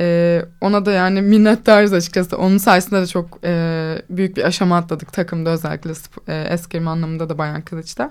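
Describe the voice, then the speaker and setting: This woman has a fairly low pitch and speaks at a fairly quick pace. Her intonation stays fairly even. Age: 20s. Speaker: fencer. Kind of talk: interview. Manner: confident.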